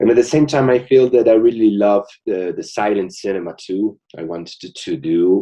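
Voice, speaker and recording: Speaking with a Bolivian accent, a man has a dark, mellow tone and ordinary pitch variation. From Bolivia, La Paz. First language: Spanish. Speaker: film director. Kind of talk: interview. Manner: slow. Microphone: connection may cut out.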